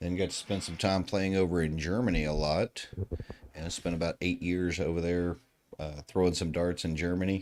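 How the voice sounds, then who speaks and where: Very deep and low in pitch, a man speaks with a Southern US accent. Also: fairly even intonation. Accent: Southern drawl. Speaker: darts commentator. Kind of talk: live sports commentary. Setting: live stream at a darts tournament.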